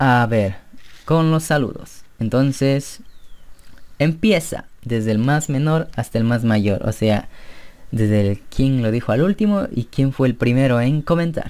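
A man speaks at a very slow pace in a medium pitch. His loudness stays very even throughout. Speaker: gaming youtuber. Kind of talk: gameplay commentary. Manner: animated.

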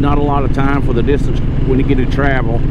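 Loud background noise sits behind a man talking at a moderate pace. His voice sounds dry, with no echo. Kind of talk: casual vlog chat. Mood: relaxed, chatty. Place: motorbike. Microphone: helmet.

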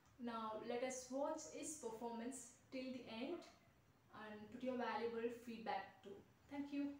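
A woman speaks in a high voice at a fairly slow pace with fairly even intonation. Audible room echo and light background noise are present. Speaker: keyboard tutor. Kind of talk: video introduction to camera. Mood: warm, encouraging. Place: classroom.

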